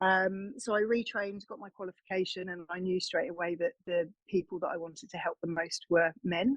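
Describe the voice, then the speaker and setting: A woman with an English accent speaks at a fairly quick pace with hardly any pauses, at medium pitch, in a dry, close sound with no echo. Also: ordinary pitch variation. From England. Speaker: wellness coach. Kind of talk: interview. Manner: hesitant, with frequent fillers.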